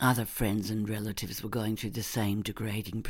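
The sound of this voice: This is an unforced reading voice. It reads along with no strain.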